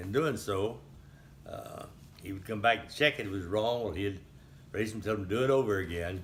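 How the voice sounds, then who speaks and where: In an audible room echo, a man with an American accent speaks at a fairly quick pace in a somewhat breathy voice, using ordinary pitch variation and long, frequent pauses. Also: fairly low pitch for a man, big swings in loudness. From Texas, Highlands near Houston. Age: 80s+. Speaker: elderly local resident recounting town history. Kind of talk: oral history interview. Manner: halting, with frequent fillers.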